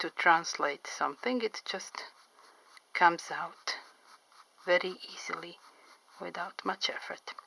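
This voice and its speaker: At a fairly slow pace, a woman with a non-native accent speaks at medium pitch in a dry, close sound with no echo. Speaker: portrait artist. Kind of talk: drawing tutorial commentary.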